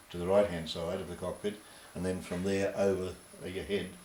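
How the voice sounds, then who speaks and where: Very fast and flat in a monotone, a man speaks with a very deep, low pitch. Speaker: war veteran. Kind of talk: interview answer. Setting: old VHS dub.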